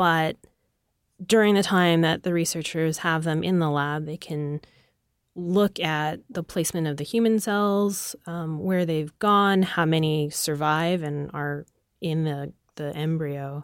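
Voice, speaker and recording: This woman has a normal speaking voice with ordinary pitch variation. The recording is very clean, with a silent background. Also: fairly low pitch for a woman, fairly slow pace. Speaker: science news editor. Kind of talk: casual chat. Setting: studio.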